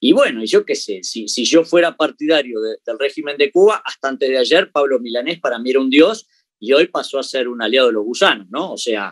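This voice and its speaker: A man in a Uruguayan accent speaks at a fairly quick pace with medium pitch and lively intonation, the sound dry and close with no echo. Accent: Rioplatense Spanish (Uruguayan). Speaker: comedian. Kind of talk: interview. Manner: halting, frequent repetitions.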